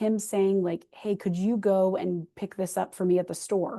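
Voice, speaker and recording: Against a quiet background, a woman with a medium pitch and a dark, mellow tone speaks at a moderate pace with fairly even intonation. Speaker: church executive assistant leading a training. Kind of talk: online training presentation.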